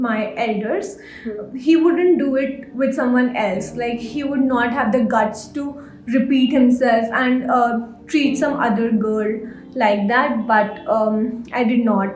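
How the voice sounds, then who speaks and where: With music in the background, a high-pitched woman speaks at a very slow pace with ordinary pitch variation. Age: 20s. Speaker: guest sharing personal story. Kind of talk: interview answer.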